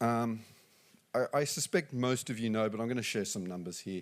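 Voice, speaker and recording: A man talks at a fairly quick pace with an Australian accent, medium pitch and ordinary pitch variation. The recording is very clean, with a silent background. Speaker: business executive. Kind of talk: conference talk. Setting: stage with audience. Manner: halting.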